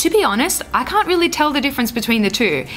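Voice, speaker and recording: Her intonation is lively as the woman speaks through noticeable background noise. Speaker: beauty vlogger. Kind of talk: makeup tutorial talk to camera.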